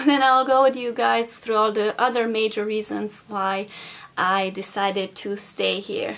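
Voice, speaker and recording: Noticeable background noise surrounds a woman with a Romanian accent. Her fairly high pitch carries fairly even intonation. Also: fairly slow pace. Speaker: vlogger. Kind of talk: casual vlog talk.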